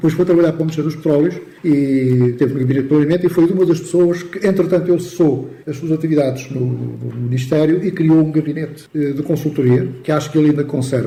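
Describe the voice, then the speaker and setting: A man talks at a very fast pace with a fairly high pitch and fairly even intonation. Noticeable background noise runs underneath. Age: 70s. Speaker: accountant, former professional body president. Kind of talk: radio interview.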